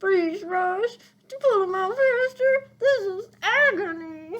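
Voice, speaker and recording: A squeaky, put-on character voice at an extremely high pitch, delivered at a fairly slow pace. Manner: pained, through clenched teeth.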